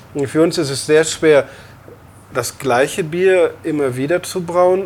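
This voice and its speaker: A man speaks over noticeable background noise. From Lower Rhine, Germany (Emmerich). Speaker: brewer and restaurant owner. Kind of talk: interview. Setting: in a bar. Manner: hesitant, many fillers.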